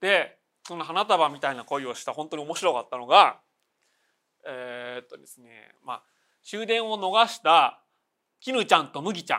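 A man with a high pitch and bright, sharp tone speaks at a moderate pace, with very wide pitch swings, big swings in loudness and long, frequent pauses. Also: very clean recording, silent background. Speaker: podcast host, film and manga commentator. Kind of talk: solo casual talk about films and news.

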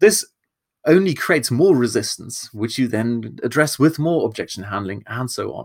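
A German accent at a moderate pace. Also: man. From Germany. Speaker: marketing podcast host. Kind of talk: solo podcast talk.

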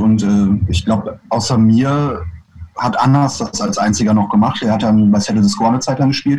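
Here a man speaks at a moderate pace with fairly even intonation. His voice is medium in pitch. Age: 30s. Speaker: punk rock singer and bassist. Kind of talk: casual interview. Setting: video call. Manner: halting.

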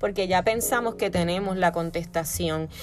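A woman speaks at a moderate pace with a Puerto Rican accent. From Puerto Rico. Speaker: podcast host, wellness coach. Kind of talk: solo podcast talk, self-help advice.

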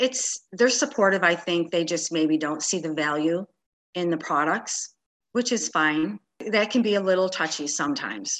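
Delivered at a moderate pace, an ordinary speaking voice rises and falls with lively intonation. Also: woman. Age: 50s. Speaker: network marketing business owner. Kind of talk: interview.

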